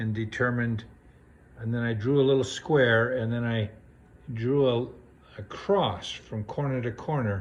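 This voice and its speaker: At a fairly slow pace, a man of medium pitch speaks with a somewhat breathy voice and fairly even intonation. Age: 60s. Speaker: DIY woodworker. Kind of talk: tutorial. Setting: home workshop. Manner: hesitant, many fillers.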